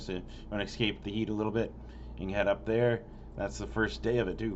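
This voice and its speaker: Audible room echo surrounds a man whose voice sits fairly low in pitch. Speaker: local music concert calendar vlogger. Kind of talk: casual event listing monologue. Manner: rushed; stumbling over names.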